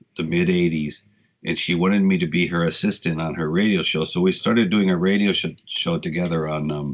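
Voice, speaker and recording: Talking at a fairly quick pace, a man with an American accent has a very deep, low pitch. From southern California (Ventura). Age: 60s. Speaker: radio DJ and punk singer. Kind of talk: casual interview chat. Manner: animated storytelling.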